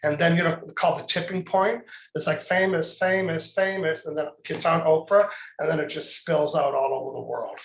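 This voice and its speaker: There is noticeable background noise. Through it, a man speaks at a high pitch with fairly even intonation. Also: fairly quick pace. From Canada. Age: 60s. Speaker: author and trainer. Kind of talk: casual chat.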